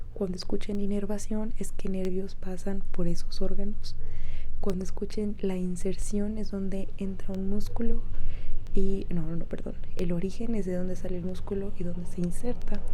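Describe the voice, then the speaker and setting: A soft-spoken woman talks at a moderate pace with a medium pitch and flat, monotone intonation. Noticeable background noise runs underneath. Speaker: medical student. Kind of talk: soft-spoken ASMR talk to camera.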